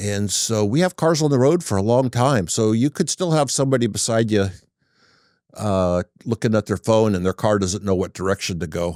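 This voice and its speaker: With very even loudness and lively intonation, a man speaks in a plain, everyday voice on a very clean recording with a silent background. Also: fairly low pitch for a man, moderate pace, dry, close sound with no echo. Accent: American. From Northern California, Humboldt County. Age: 60s. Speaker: auto repair business owner. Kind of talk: casual interview chat.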